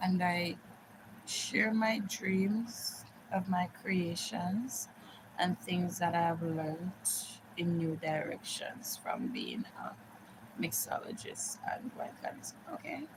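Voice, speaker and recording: Over noticeable background noise, the speaker talks at a very slow pace with lively intonation and long, frequent pauses. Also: woman, medium pitch for a woman. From Jamaica, Montego Bay. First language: Jamaican Patois. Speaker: live streamer. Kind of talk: casual chat. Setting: live stream.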